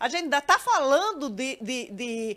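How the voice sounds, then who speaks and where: Her pitch high and her tone bright and sharp, a woman talks at a moderate pace. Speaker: judge. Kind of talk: panel discussion. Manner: halting.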